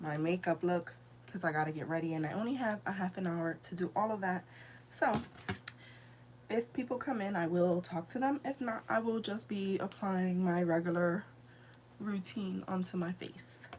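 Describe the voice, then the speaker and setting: A woman with a fairly low voice speaks at a moderate pace with lively intonation over noticeable background noise. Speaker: beauty vlogger. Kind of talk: live makeup tutorial. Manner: casual, halting.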